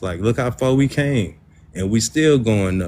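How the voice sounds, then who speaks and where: A man speaks at a fairly slow pace and a fairly low pitch. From US South. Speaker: debate participant. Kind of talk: heated debate.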